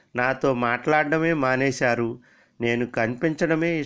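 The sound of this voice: Pitch shifts in an ordinary way as the speaker reads in an unforced voice.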